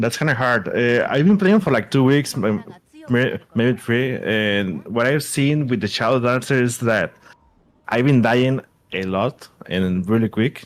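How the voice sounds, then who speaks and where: A man with a non-native accent, lively intonation and a fairly slow pace. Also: medium pitch for a man. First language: not English. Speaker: gamer, viewer. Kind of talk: casual chat. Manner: halting, stammering.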